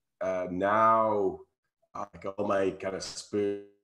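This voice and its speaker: Over music in the background, a man speaks slowly-ish, at a fairly slow pace, with a fairly low pitch and monotone, flat intonation. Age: 60s. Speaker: spiritual podcast host and meditation practitioner. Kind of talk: casual interview chat. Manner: halting, with frequent repetitions.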